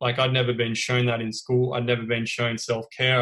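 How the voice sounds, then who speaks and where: A man with an Australian accent talks at a fairly quick pace in a medium pitch, his intonation monotone and flat. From Australia, Melbourne. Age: 30s. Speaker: guest sharing recovery story. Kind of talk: interview testimony.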